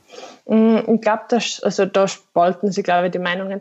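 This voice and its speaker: Here a woman speaks at a moderate pace in a medium-pitched voice with a dark, mellow tone. Her intonation is monotone and flat. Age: 20s. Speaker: marketing professional. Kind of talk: interview. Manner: hesitant, many fillers.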